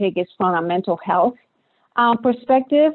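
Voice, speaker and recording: A woman speaks with a strong Puerto Rican accent. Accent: thick Puerto Rican Spanish. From Puerto Rico. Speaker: clinical psychologist, researcher. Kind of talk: panel discussion. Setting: webinar video call.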